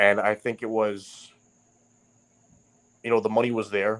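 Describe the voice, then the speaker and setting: Moderate pace in a New York accent. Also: man. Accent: Queens New York. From New York, Queens (North Bayside). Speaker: writer and podcast guest. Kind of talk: casual chat. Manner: halting, many restarts.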